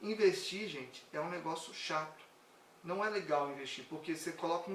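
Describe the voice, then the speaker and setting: A man talking at a fairly quick pace, with noticeable background noise and audible room echo. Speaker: personal finance content creator. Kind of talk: live stream talk. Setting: live stream.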